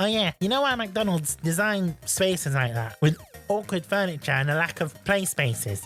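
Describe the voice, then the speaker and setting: A put-on character voice sits at a middle pitch and a moderate pace. Faint music plays in the background. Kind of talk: quirky, exaggerated lecturing voice.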